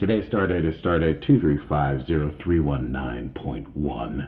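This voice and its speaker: A gravelly, put-on character voice moves at a moderate pace over light background noise. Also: man. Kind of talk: podcast host opening an episode.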